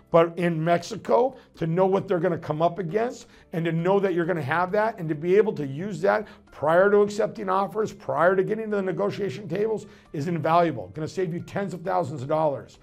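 A man's high-pitched voice at a fairly quick pace. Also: ordinary pitch variation. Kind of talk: promotional advice talk. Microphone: lapel.

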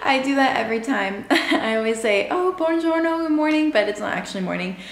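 With audible room echo, a woman talks at a fairly quick pace in a high pitch. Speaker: travel vlogger. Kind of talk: casual vlog chat. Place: home room. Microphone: phone near.

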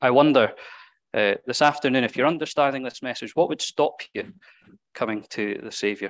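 Over a quiet background, a man talks at a moderate pace with ordinary pitch variation and big swings in loudness. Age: 30s. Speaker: preacher. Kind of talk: sermon. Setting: church. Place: church.

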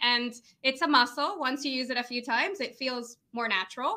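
A woman's high, bubbly voice, raised and projected, with a bright, sharp tone at a moderate pace. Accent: American. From Venezuela. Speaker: lead generation business owner. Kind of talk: casual interview chat.

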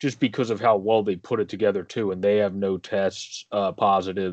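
Over a quiet background, a man talks at a fairly quick pace with ordinary pitch variation in a dry sound with no echo. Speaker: sports podcast co-host. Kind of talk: casual sports commentary. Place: home room. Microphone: video call.

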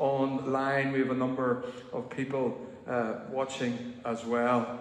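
Audible room echo around a man speaking. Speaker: minister leading a service. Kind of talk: service welcome and notices. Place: church. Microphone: camera far.

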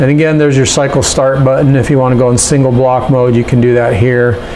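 A man's monotone, flat delivery at a fairly quick pace, with light background noise. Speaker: CNC controller demonstrator. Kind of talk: tutorial. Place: workshop.

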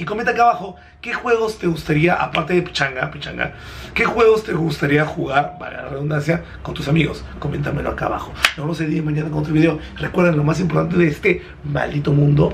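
A man talks at a very fast pace. Noticeable background noise sits behind him. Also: ordinary pitch variation. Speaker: vlogger. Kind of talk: casual vlog chat. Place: home room. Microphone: phone near.

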